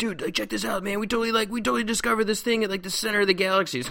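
In a high-pitched, put-on character voice, a man rattles along at a very fast pace over noticeable background noise. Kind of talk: casual, bro-like. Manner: excited.

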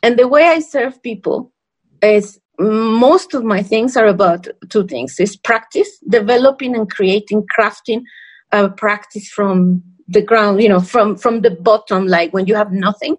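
This woman talks fairly slowly with a Spanish accent and ordinary pitch variation. The background is quiet. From Mexico. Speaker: podcast co-host. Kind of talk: casual chat. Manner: animated.

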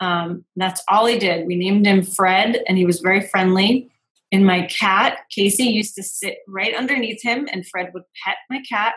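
An ordinary speaking voice from a woman, with fairly even intonation at a moderate pace. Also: medium pitch for a woman. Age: 30s. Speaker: intuitive business coach and podcast host. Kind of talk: casual chat.

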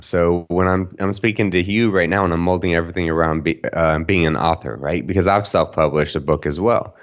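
Very deep and low in pitch, a man talks at a very fast pace with a Texan accent. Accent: Texan American. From Texas, Dallas-Fort Worth. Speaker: mental health speaker and media exposure coach, war veteran. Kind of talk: podcast interview.

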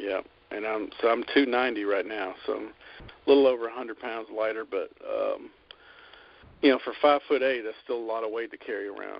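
Speaking in a Southern US accent, a man uses a medium pitch and fairly even intonation at a moderate pace, with big swings in loudness. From Alabama. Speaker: chef and caterer. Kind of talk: interview.

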